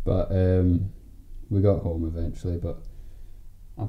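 The voice has a relaxed tone, with noticeable background noise behind it. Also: man. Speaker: podcast host and editor. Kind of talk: casual chat, banter. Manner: relaxed, jokey.

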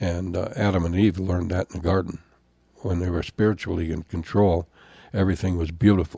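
Somewhat breathy and very deep, a man with an American accent speaks at a fairly quick pace with fairly even intonation. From Wisconsin, US. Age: 70s. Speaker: pastor and podcast host.

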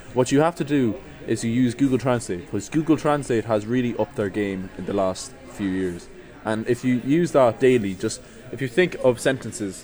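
With music in the background, a man with an Irish accent and a medium pitch speaks at a moderate pace with ordinary pitch variation. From Ireland. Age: 20s. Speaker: podcast guest. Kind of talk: casual chat.

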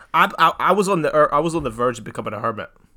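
A very fast-talking man with a bright, sharp tone and a Scottish accent. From Scotland. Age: 20s. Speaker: podcast co-host. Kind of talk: casual chat.

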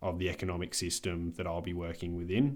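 A man's very deep, low voice in an Australian accent, at a moderate pace, on a very clean recording with a silent background. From Australia, Adelaide. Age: 20s. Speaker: podcast co-host. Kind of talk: casual chat.

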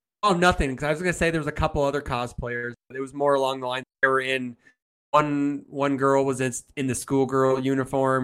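With fairly even intonation and a medium pitch, a man speaks in a plain, everyday voice. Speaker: friend of podcast, guest. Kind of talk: casual chat.

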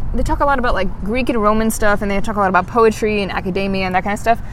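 Very fast speech over noticeable background noise. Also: woman. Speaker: podcast co-host. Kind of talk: casual chat. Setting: outdoors. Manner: articulate.

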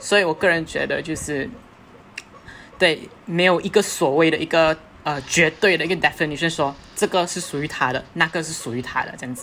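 With an ordinary speaking voice, a woman speaks at a fairly quick pace and fairly low pitch, with ordinary pitch variation and big swings in loudness. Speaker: linguistics student. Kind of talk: casual panel discussion.

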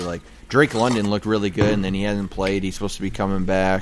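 A man speaks at a fairly low pitch over noticeable background noise. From Michigan. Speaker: sports podcast host. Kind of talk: casual chat. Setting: garage.

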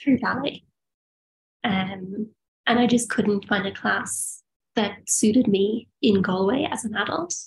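The voice is somewhat breathy, in an Irish accent, with ordinary pitch variation. It moves at a fairly slow pace with long, frequent pauses. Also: woman, medium pitch for a woman. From rural Ireland. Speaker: biomedical engineer and yoga teacher. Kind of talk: casual chat. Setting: video call.

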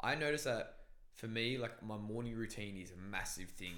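Loud and fairly quick, this man speaks with a fairly low pitch and a bright, sharp tone. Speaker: podcast host. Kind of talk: casual chat. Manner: loud, intense talker.

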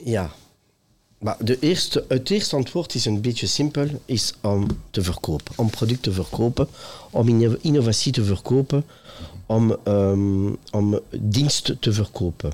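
Very clean and set against a silent background, the recording holds a man with a plain, everyday voice, medium in pitch, speaking at a fairly slow pace with lively intonation and very even loudness. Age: 50s. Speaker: retail executive. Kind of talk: interview. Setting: trade fair.

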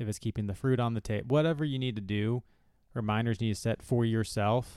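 A man with a plain, everyday voice at a medium pitch. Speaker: physio and fitness podcast host. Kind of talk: casual podcast chat. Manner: conversational, relaxed.

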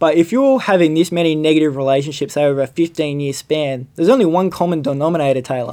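A man's dark, mellow tone pairs with a fairly high pitch and ordinary pitch variation. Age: 20s. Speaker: podcast host. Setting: studio. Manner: casual, swearing, jokey.

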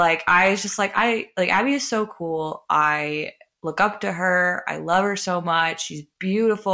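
On a very clean recording with a silent background, a woman with a medium pitch and ordinary variation speaks in a bright, sharp tone edged with vocal fry. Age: 20s. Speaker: podcast co-host. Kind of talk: casual chat.

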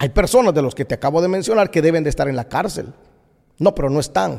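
The voice has a dark, mellow tone with vocal fry. Its intonation is lively and the pace fairly quick. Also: man. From Guatemala. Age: 40s. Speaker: pastor. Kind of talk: opinion monologue podcast.

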